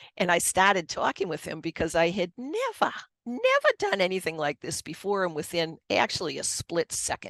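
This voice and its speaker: In a Boston accent, a woman speaks at a moderate pace, the sound dry and close with no echo. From Boston area, US. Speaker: author and Reiki master. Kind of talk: personal testimony in interview.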